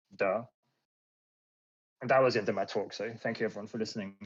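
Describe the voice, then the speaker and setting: In an English accent, a man talks at a medium pitch. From England, London area. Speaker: cybersecurity presenter. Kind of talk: lecture. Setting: online talk on Discord. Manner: hesitant, many fillers.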